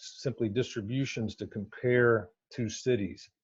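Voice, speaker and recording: At a moderate pace, a man with medium pitch speaks in a somewhat breathy voice, his pitch varying in an ordinary way. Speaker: academic researcher. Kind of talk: conference presentation. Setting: virtual conference talk.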